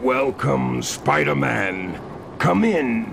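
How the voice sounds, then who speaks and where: Against clear background noise, a man uses a put-on character voice with a very deep, low pitch. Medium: audio drama. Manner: commanding, grandiose.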